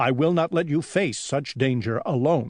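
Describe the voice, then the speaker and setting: A man does a put-on character voice with a growl. His pitch is fairly high and his pace is moderate. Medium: read story. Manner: worried, cautious.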